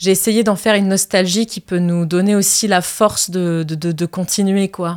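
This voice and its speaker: A woman's medium-pitched, monotone voice with flat intonation, at a moderate pace with hardly any pauses, in a very clean recording against a silent background. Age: 30s. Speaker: actress and singer. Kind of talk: interview. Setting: studio. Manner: hesitant.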